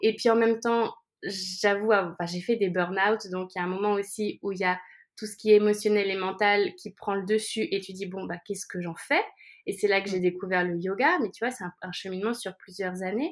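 Speaking at a moderate pace with medium pitch and fairly even intonation, a woman has a normal speaking voice with big swings in loudness. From France. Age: 30s. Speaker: life coach and yoga teacher. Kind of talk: casual interview.

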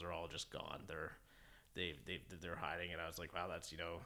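A man talks with a Canadian accent. His pitch is very deep and low, yet the tone is bright and sharp. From Ontario, Canada (Keswick). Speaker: Inuit youth advocate. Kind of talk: interview conversation.

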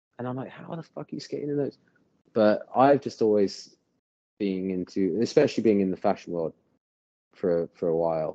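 In an American accent, a man speaks with a dark, mellow tone, lively intonation and big swings in loudness. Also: moderate pace. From England (Bath). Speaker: professional skateboarder. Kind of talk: casual chat.

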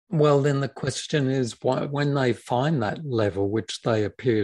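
In a dry, close sound with no echo and a quiet background, a man with an Australian accent speaks with ordinary pitch variation. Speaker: documentary filmmaker and film school lecturer. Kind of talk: casual film discussion.

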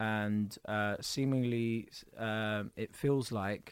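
On a very clean recording with a silent background, a man talks with a South London accent and fairly even intonation. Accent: south London, multicultural London English. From south London (Tulse Hill), Kurdish family. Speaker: comedian. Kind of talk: casual interview chat.

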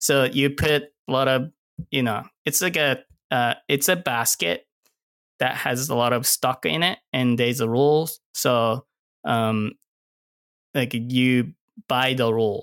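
A man with a Japanese accent talks at a fairly slow pace, leaving long, frequent pauses. His voice sits at a medium pitch with ordinary pitch variation and very even loudness, recorded dry and close with no echo, very clean against a silent background. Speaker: cinematographer. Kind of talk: casual interview chat.

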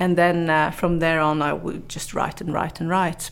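A woman speaks in a fairly low pitch. She has a Norwegian accent. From northern Norway. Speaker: journalist and motivational speaker. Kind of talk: interview. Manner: halting, many fillers and repetitions.

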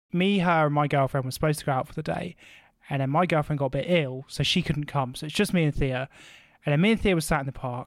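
Talking at a very fast pace, a man with a British accent has fairly high pitch and ordinary pitch variation. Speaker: podcast host. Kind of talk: comedic casual chat. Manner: animated.

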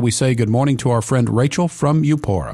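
The speaker is a man. His intonation is lively. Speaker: radio host. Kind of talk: call-in radio show. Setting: studio.

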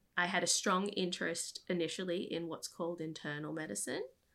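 Her voice is bright and sharp, with a fairly low pitch, ordinary pitch variation and an American accent. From Australia, Brisbane. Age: 30s. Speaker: medical student and nonprofit founder. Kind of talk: interview conversation.

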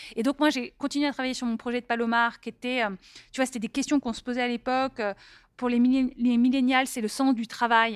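At a fairly quick pace, a woman with a high pitch speaks in a monotone, flat intonation, the sound dry and close with no echo on a very clean recording with a silent background. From Paris, France. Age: 40s. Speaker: entrepreneur and author. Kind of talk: casual interview.

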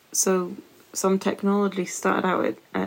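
A woman talks with a British accent. Her pace is very slow. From UK. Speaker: astrophysicist and science communicator, podcast host. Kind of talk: casual chat.

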